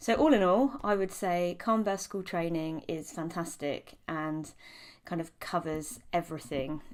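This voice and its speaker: On a very clean recording with a silent background, a woman with a British accent speaks fairly slowly at a fairly low pitch with ordinary pitch variation. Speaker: clinical psychologist and hypnobirthing teacher. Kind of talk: testimonial. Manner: hesitant, many filler ums.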